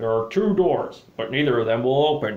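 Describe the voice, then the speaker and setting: At a moderate pace, a man delivers a put-on character voice at a medium pitch. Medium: solo performance. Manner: calm.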